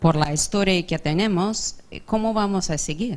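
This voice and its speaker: A woman speaks with an English accent. Her pitch varies in an ordinary way. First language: English (speaking Spanish). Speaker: audience member asking a question. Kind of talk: audience question. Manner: halting, self-correcting.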